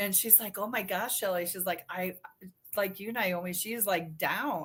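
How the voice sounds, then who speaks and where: An unremarkable speaking voice from a woman, medium in pitch, at a moderate pace with fairly even intonation. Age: 60s. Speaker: breast implant illness survivor. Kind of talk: casual chat.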